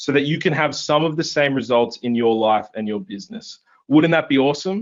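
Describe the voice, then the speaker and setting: This man talks at a fairly quick pace, his pitch swinging very widely. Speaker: online marketing coach. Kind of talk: webinar sales pitch. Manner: fast; enthusiastic.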